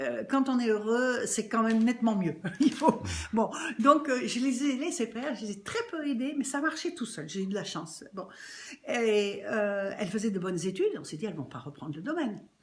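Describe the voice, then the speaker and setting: Very wide pitch swings from a woman, fairly high in pitch and moving at a fairly quick pace. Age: 70s. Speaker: winery co-owner, former actress. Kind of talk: casual interview.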